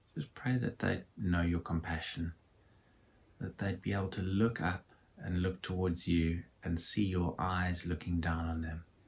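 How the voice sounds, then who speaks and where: A man talks in a very deep, low voice that is somewhat breathy. His pace is fairly slow and his intonation fairly even. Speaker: church service co-host. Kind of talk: casual chat and prayer. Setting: living room at home.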